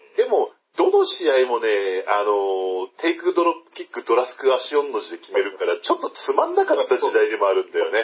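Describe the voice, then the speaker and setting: Moving at a fairly quick pace with hardly any pauses, a man's voice shows big swings in loudness. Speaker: pro wrestling fan commentator. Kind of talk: casual chat.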